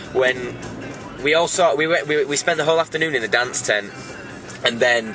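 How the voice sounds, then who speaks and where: A man speaks at a moderate pace with ordinary pitch variation, his voice dry with no echo and clear music playing in the background. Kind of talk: casual vlog chat. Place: car. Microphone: phone near.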